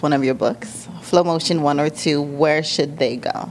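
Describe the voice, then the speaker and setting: With an American accent, a woman speaks at a moderate pace in a very deep, low pitch. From South Florida. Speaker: talk show host. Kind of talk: interview.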